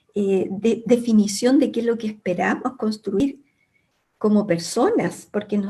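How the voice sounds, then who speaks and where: A woman with a fairly high pitch speaks in a somewhat breathy voice with a dark, mellow tone and ordinary pitch variation. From Chile, Santiago. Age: 70s. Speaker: academic. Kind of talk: panel discussion. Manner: hesitant, with fillers.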